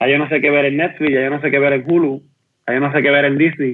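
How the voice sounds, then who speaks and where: A man rattles along at a very fast pace. His intonation is monotone and flat. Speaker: health industry worker, beer enthusiast. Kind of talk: casual chat.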